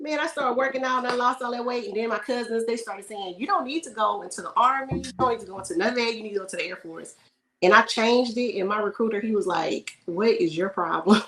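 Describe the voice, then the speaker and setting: Big swings in loudness run through a woman's very fast speech, delivered at a fairly high pitch with an American accent. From Houston, Texas. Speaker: air force veteran and video creator. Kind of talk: casual chat.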